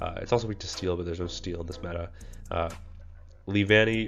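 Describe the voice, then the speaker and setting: With music in the background, a man speaks at a very deep, low pitch with fairly even intonation. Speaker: gaming content creator. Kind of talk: game strategy tutorial. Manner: frequent filler words.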